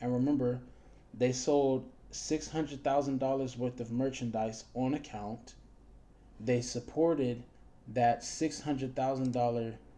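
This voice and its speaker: A man's medium-pitched voice with a dark, mellow tone, monotone, flat intonation and a fairly slow pace, plus audible room echo. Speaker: teacher. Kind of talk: lecture.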